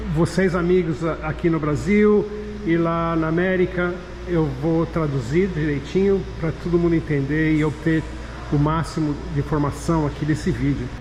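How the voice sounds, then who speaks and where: Speech from a man with noticeable noise behind it and audible room echo. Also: moderate pace. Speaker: skateboard company owner and car enthusiast vlogger. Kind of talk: casual interview tour.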